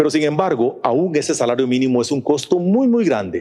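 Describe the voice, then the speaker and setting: The tone is dark and mellow. The pace runs fairly quick. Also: man. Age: 60s. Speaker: business executive, conference speaker. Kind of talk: conference talk. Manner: talkative.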